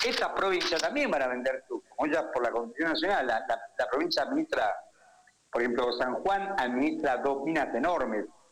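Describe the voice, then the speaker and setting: Over noticeable background noise, a man's fairly high voice has lively intonation and very even loudness. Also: fairly quick pace. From Argentina, Tucumán. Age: 70s. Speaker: economist. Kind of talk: radio interview.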